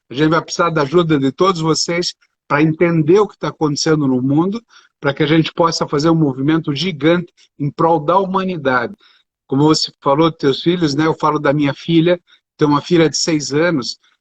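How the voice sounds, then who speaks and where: A man with a fairly high pitch talks in a plain, everyday voice at a fairly quick pace with fairly even intonation, the sound dry and close with no echo. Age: 60s. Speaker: doctor and speaker. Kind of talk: live stream interview.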